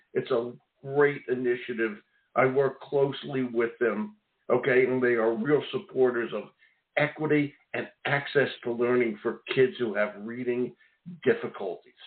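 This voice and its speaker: This man has a Philadelphia accent. His pitch variation is ordinary. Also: medium pitch for a man, moderate pace. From Philadelphia, US. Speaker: radio host. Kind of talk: radio interview. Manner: animated.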